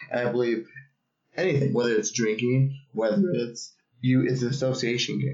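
A man's medium-pitched, plain, everyday voice, at a moderate pace with fairly even intonation. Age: 30s. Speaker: podcast co-host. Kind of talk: casual chat. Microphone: laptop built-in mic.

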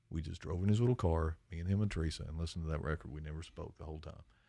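On a very clean recording with a silent background, a man with a very deep, low pitch and dark, mellow tone speaks very fast with fairly even intonation. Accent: Appalachian. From eastern Kentucky, Lawrence County. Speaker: podcast host and country musician. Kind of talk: casual chat.

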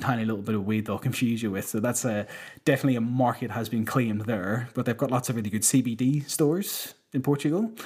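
A man with a Northern Irish accent talks at a fairly quick pace in a medium pitch with fairly even intonation. The recording is very clean, with a silent background. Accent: Northern Irish (Belfast). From Northern Ireland, Belfast. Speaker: touring sound engineer. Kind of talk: casual chat.

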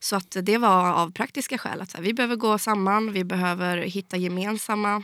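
On a very clean recording with a silent background, a woman at medium pitch talks at a moderate pace in a monotone, flat intonation. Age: 20s. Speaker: fintech industry association head. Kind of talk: interview.

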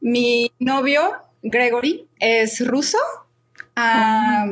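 The woman's voice sits fairly high, with fairly even intonation. She speaks at a very slow pace. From Mexico, Guadalajara. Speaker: expat interviewee. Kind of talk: podcast interview.

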